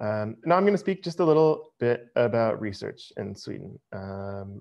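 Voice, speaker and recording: With an American accent, a man's voice makes very wide pitch swings and big swings in loudness. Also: medium pitch for a man, moderate pace. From United States. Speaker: university international staff presenter. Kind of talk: webinar presentation. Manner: casual with many filler words.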